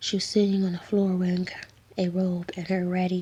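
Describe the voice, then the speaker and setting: Someone whispers at a moderate pace. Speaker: ASMR creator. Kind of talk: read story. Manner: whispered.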